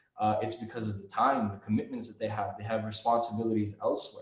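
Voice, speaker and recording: At a very fast pace, a man with an American accent talks in a medium pitch. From United States. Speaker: Quran reciter. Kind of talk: interview answer. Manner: casual, conversational.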